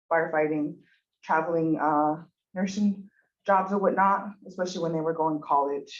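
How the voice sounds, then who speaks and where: In a Montana accent, a woman with a fairly low pitch talks at a moderate pace with fairly even intonation. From Montana, Blackfeet Reservation (Browning). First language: Blackfeet. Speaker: university student. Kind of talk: public testimony at a commission meeting. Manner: hesitant, many fillers.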